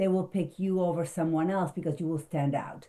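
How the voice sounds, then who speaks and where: Her tone dark and mellow, a woman with a non-native accent speaks at a fairly low pitch. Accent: foreign. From abroad, non-English-speaking country. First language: not English. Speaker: speaker coach and marketing consultant. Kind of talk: interview.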